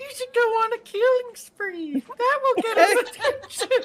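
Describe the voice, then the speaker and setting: Put-on character voice, extremely high in pitch, delivered at a moderate speed. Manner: sly, tempting.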